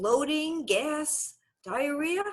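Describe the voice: A woman with a Brooklyn accent.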